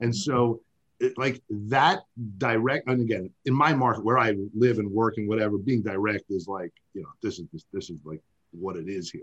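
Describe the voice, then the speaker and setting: Here a man speaks with an American accent at a moderate pace and medium pitch, in an ordinary speaking voice with ordinary pitch variation. His loudness swings widely, and the sound is dry and close with no echo. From New York. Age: 40s. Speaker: oral surgeon. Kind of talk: interview.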